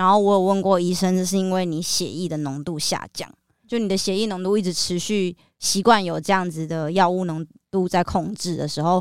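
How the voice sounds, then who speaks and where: An ordinary speaking voice with fairly even intonation at a moderate pace, on a very clean recording with a silent background. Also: woman. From Taiwan (New Taipei). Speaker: author and music video director. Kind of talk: interview about mental illness.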